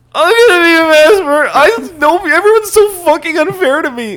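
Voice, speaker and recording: An extremely high-pitched, put-on character voice at a fairly quick pace. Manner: moderate, brooding, aggrieved.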